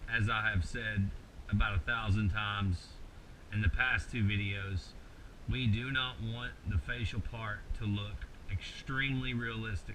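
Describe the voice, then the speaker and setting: A man with a Kentucky accent speaks at a fairly low pitch and a fairly slow pace, with ordinary pitch variation. His pauses are long and frequent, and there is noticeable background noise. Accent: rural Kentucky Southern US. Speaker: mask maker, tutorial host. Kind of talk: tutorial. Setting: home workshop late at night. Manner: casual, halting with many repeated words.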